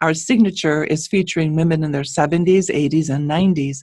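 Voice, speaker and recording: Here a woman talks at a moderate pace in a normal speaking voice. Her intonation is fairly even. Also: dry, close sound with no echo. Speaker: podcast co-host. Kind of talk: podcast intro.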